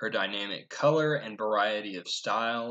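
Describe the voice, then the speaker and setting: The voice moves at a moderate pace against a quiet background. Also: man. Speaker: presenter. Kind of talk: class presentation. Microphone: webcam.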